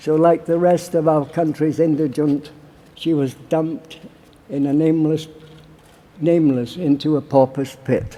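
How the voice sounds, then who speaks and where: In a Yorkshire accent, a man with a fairly high pitch speaks at a fairly slow pace. His delivery is monotone and flat, broken by long, frequent pauses. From Barnsley, Yorkshire, England. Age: 80s+. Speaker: war veteran. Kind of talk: political conference speech. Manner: passionate.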